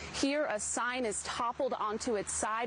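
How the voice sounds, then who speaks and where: A woman's fairly high voice, fairly even in intonation, over noticeable background noise. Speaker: television news reporter. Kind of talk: TV news field reporting, live and packaged.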